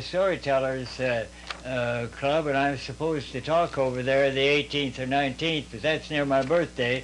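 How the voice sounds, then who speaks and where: Over noticeable background noise, the speaker talks at a moderate pace in an American accent with fairly even intonation. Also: man. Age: 90s. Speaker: war veteran. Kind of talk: casual interview. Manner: halting, many fillers.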